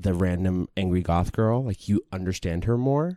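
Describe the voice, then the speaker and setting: A man with a New York accent and a dark, mellow tone, moderate pace and ordinary pitch variation, on a very clean recording with a silent background. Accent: New York American. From New York, US. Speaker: podcast host. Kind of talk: casual chat.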